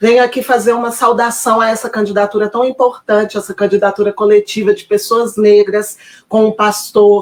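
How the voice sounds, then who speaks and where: Her voice is fairly high for a woman and keeps a moderate pace. The intonation stays monotone and flat. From Minas Gerais, Brazil. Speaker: political aide. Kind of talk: recorded video message of support.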